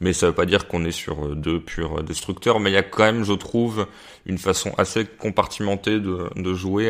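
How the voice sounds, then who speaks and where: The speaker is a man using fairly even intonation. He moves at a fairly quick pace. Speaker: football pundit. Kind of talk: casual chat. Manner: halting, many fillers.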